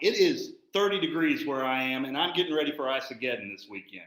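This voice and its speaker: Loudness swings widely in this voice with a Southern US accent. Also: man. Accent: Southern drawl. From Texas. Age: 50s. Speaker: firefighter and instructor. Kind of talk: podcast interview. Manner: casual, unfiltered.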